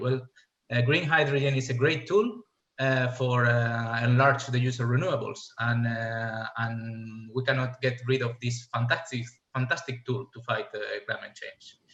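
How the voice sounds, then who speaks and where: A man at a medium pitch with a Spanish accent and fairly even intonation. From Spain. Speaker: fuel cell scientist, industry panelist. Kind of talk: panel presentation. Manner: halting, many fillers.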